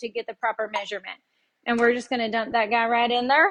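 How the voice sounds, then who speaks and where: A woman's high pitch at a very fast pace. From Tennessee. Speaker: home cooking show host. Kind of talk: live cooking tutorial. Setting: livestream in home kitchen. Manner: chatty, relaxed.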